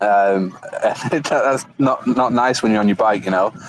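There is noticeable background noise behind this man. His pitch is fairly low, and his intonation is fairly even. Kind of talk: casual group chat. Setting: hotel rooftop, Bangkok.

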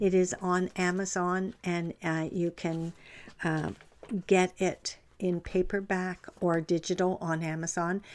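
The recording is very clean with a silent background. Someone speaks very slowly with a Canadian accent in a monotone, flat intonation. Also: woman, fairly low pitch for a woman. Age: 70s. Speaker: life coach and podcast host. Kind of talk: motivational talk. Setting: livestream from home. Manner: halting.

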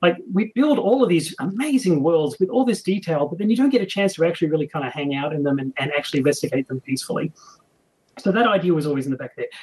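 Very fast speech in an Australian accent, with very wide pitch swings. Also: man, high pitch for a man. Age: 40s. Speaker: game designer. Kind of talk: interview.

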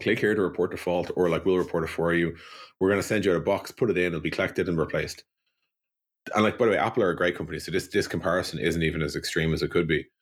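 In a Dublin accent, a man talks very fast with a very deep, low voice. His intonation is fairly even, and the recording is very clean with a silent background. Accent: Irish (Dublin). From Ireland, Dublin. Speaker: software company co-founder. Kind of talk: interview.

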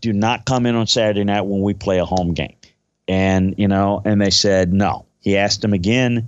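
A man with an American accent talks in a normal speaking voice at a fairly low pitch and a moderate pace. His intonation is fairly even, and his loudness stays very even. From Louisiana, US South. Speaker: football scout and analyst. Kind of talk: casual sports talk, podcast interview.

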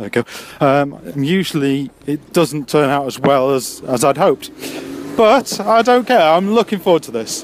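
With a Yorkshire accent, a man talks at a moderate pace in a fairly high pitch with lively intonation, over noticeable background noise. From Yorkshire, England. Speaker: amateur stand-up comedian. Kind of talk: casual video diary.

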